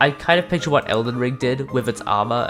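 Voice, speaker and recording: A man speaks at a moderate pace, and music plays in the background. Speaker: gaming video creator. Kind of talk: scripted video essay narration. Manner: excited.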